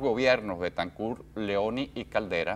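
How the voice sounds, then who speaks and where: Speaking at a moderate pace, a man uses a plain, everyday voice with a fairly low pitch and ordinary pitch variation. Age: 60s. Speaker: journalist. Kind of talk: interview.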